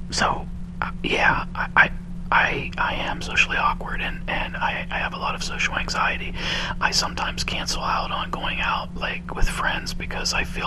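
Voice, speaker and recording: Noticeable background noise sits behind the audio. A man whispers at a moderate pace. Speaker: ASMR video creator. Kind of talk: casual talk to camera. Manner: whispered, soft-spoken.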